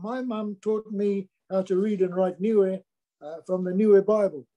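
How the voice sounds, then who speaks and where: The recording is dry and close with no echo, carrying a man's high-pitched voice with a dark, mellow tone. His pitch variation is ordinary, while his loudness swings widely. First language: Niuean. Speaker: musician and activist. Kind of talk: interview. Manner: hesitant, with frequent um fillers.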